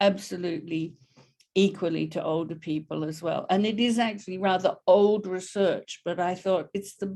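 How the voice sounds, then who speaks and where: Here a woman speaks with an Australian accent. Her medium-pitched voice has a dark, mellow tone. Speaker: professor. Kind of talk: lecture.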